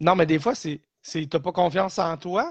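Speech in a Quebec accent comes at a moderate pace, with a dry, close sound with no echo and a quiet background. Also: man. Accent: Québécois French. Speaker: podcast co-host. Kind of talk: casual chat.

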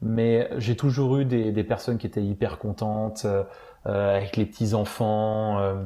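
Against a quiet background, a man speaks fairly slowly in a fairly low, monotone voice with flat intonation and a dark, mellow tone. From France. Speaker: former theme park employee. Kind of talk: casual chat. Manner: halting.

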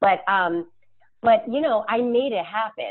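Speaking fairly slowly, a woman with an unremarkable speaking voice uses lively intonation. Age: 40s. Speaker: personal trainer. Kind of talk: casual chat.

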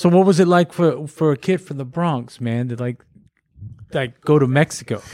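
In an American accent, a man speaks with a fairly high pitch and a dark, mellow tone, the sound dry and close with no echo. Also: ordinary pitch variation, moderate pace, very clean recording, silent background. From Corsicana, Texas. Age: 50s. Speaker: podcast host. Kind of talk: casual chat.

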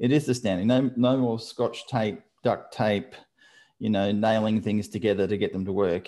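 A man with an Australian accent talks at a moderate pace. The recording is very clean, with a silent background. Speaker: podcast host. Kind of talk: casual interview.

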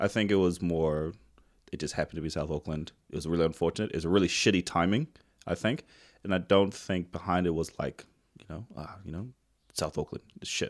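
Fairly quick speech in a New Zealand accent with fairly even intonation. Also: man, very deep, low pitch for a man, very clean recording, silent background. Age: 30s. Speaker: podcast host. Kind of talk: casual interview chat.

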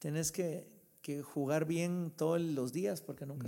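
In a dark, mellow tone, a man speaks at a fairly slow pace with fairly even intonation. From Guatemala. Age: 50s. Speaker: entrepreneur and pastor. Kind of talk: interview. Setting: at his home.

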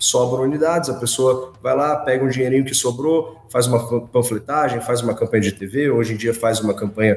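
It's a man with a plain, everyday voice. He talks at a moderate pace and medium pitch, with ordinary pitch variation. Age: 20s. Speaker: construction company executive. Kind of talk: business interview.

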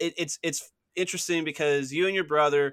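On a very clean recording with a silent background, a man speaks at a moderate pace in a fairly high pitch, his tone bright and sharp. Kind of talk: casual interview chat.

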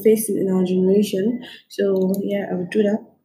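A woman's dark, mellow tone carries a somewhat breathy quality as she talks at a moderate pace. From Nigeria. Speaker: podcast host. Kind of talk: solo talk monologue.

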